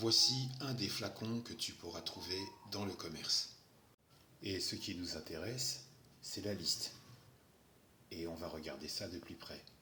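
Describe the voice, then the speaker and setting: A fairly low-pitched man with lively intonation, a fairly slow pace and long, frequent pauses, in audible room echo. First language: not French (speaking French). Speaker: herbal remedies content creator. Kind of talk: response video. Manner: sarcastic.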